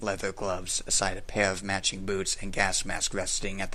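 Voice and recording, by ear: A passage read aloud in a natural voice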